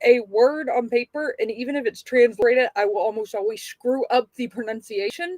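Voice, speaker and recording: A woman with a slight Texan accent uses lively intonation, heard in a dry, close sound with no echo. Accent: slight Texas. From Texas. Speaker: podcast co-host. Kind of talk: casual chat.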